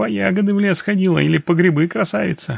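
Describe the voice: This put-on character voice moves at a fast pace with ordinary pitch variation. It carries vocal fry and a slightly husky edge. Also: man.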